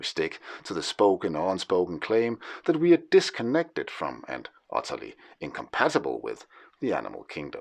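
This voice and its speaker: Against a quiet background, a man with a Danish accent speaks with big swings in loudness. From Denmark. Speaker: historian and writer. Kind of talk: scripted narration. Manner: formal.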